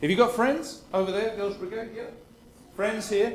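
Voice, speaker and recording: Against noticeable background noise, a man speaks at a moderate pace in a high-pitched voice. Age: 50s. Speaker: guest preacher. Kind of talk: sermon. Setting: church service with congregation. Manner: interactive, asking the congregation questions.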